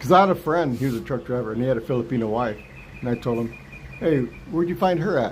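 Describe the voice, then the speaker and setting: Speaking at a very fast pace yet with long, frequent pauses, a man with a medium pitch and an American accent uses lively intonation. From US West, Los Angeles San Fernando Valley. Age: 60s. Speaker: retired vlogger. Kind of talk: casual live stream chat. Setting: live stream.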